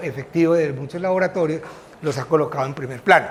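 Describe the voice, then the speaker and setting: Noticeable background noise behind a man's voice, its pitch varying in an ordinary way. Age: 60s. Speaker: physician, guest lecturer. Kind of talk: lecture. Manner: conversational, with filler hesitations.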